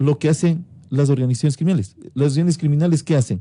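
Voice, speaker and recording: A man's somewhat breathy voice with a dark, mellow tone, the sound dry and close with no echo. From Ecuador. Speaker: interviewed prosecutor general. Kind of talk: radio interview answer.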